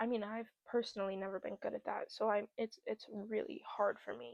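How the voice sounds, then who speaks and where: This woman's voice sits at a fairly high pitch. She speaks at a moderate pace. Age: 20s. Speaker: podcast host. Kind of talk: personal vlog monologue. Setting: talking to camera. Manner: halting.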